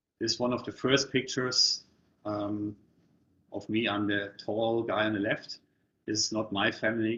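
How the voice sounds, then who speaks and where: Monotone and flat, a man with a German accent speaks at a fairly low pitch. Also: long, frequent pauses. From Germany. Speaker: property investment coach. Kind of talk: webinar presentation. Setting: online webinar.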